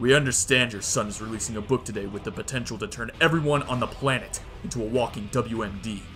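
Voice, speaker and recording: A man's put-on character voice, growling and menacing at a medium pitch and a very fast pace, with clear background noise. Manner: menacing, gruff.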